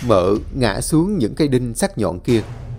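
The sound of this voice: The reading voice is unforced, with lively intonation.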